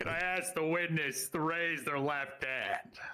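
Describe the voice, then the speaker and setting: The speech unfolds fairly slowly. It is done in a put-on character voice. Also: man, fairly high pitch for a man. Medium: game stream. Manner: hesitant, over-eager.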